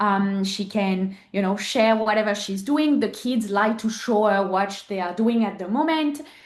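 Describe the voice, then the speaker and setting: A woman with a French accent at a medium pitch, hardly any pauses, and audible room echo. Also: ordinary pitch variation. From southern France. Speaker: podcast guest, mother and entrepreneur. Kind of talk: interview.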